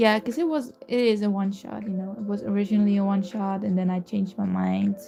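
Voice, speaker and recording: With a Dutch accent, a woman talks at a fairly quick pace in a medium pitch with ordinary pitch variation, amid noticeable background noise. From Netherlands. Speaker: fanfiction YouTuber. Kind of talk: casual livestream chat. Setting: livestream. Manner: hesitant, many fillers.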